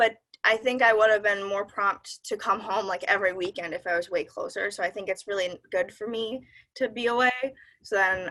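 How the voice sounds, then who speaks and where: With a Midwestern accent, a woman talks at a moderate pace in a bright, sharp tone and fairly even intonation. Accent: Midwestern, long vowels. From US Midwest. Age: young. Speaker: college student. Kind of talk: casual interview.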